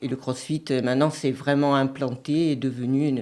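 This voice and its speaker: A woman's very deep, low voice has a dark, mellow tone and fairly even intonation on a very clean recording with a silent background. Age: 60s. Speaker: CrossFit gym owner and coach. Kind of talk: radio interview. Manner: hesitant, many fillers.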